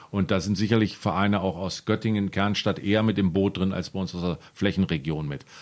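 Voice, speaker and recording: In a very clean recording with a silent background, a man with a fairly low pitch talks at a fairly quick pace in an ordinary speaking voice. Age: 40s. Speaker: football referee and official. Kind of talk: casual chat.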